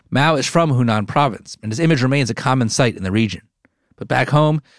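Over a silent background in a very clean recording, a man with an American accent uses a normal speaking voice at medium pitch, talking at a fairly quick pace with lively intonation. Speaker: podcast host. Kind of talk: interview with narration.

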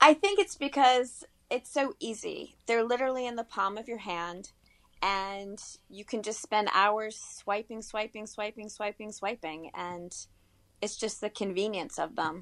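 This woman has a plain, everyday voice, fairly high in pitch, and she speaks at a fairly slow pace with ordinary pitch variation. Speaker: freelance writer. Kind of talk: interview.

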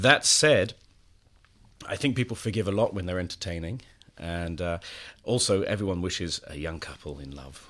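With a very deep, low pitch and lively intonation, a man talks at a moderate pace, his loudness swinging widely between long, frequent pauses. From England. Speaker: culture editor, magazine writer. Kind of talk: casual interview. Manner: hesitant, many fillers and repetitions; dry, ironic.

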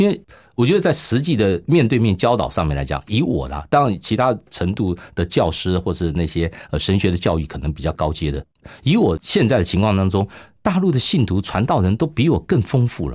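This man has a Taiwanese accent and a fairly low pitch with very wide swings. He talks at a fairly quick pace on a very clean recording with a silent background. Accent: Taiwanese Mandarin. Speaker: radio pastor. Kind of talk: testimony interview.

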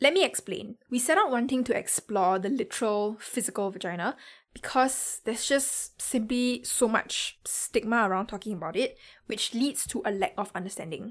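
On a very clean recording with a silent background, a woman with a Singaporean accent speaks at a moderate pace in a fairly high pitch with lively intonation. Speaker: podcast host and producer. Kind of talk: podcast hosting, intro and outro.

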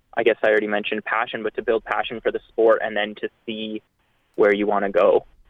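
A man with a Canadian accent at a very fast pace. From Ontario, Canada (London). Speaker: distance runner. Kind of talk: interview.

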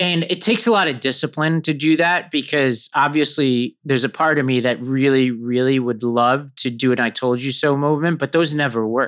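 A man with an American accent has an unremarkable speaking voice, fairly high in pitch with ordinary pitch variation. He keeps a moderate pace with hardly any pauses against a quiet background. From New York City (Staten Island). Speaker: political organizer and podcast host. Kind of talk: casual interview conversation.

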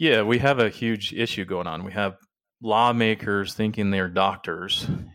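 A man with an ordinary speaking voice uses fairly even intonation. The recording is very clean, with a silent background. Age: 40s. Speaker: business coach and motivational speaker. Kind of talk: casual chat.

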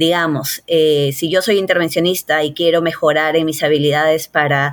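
This woman speaks at a fairly low pitch. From Peru, Lima. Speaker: cardiologist. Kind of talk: interview. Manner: hesitant with frequent fillers.

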